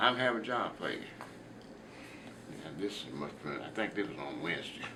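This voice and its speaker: A man speaks in a Southern US accent. Noticeable background noise runs under his voice. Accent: Southern American English. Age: 80s+. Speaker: retired school teacher. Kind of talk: interview answer.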